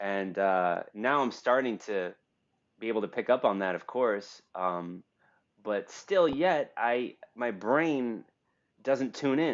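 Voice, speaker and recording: Speaking very slowly with a New York accent, a man of medium pitch uses lively intonation. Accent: American, New York. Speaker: podcast host. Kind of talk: casual chat. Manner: loud.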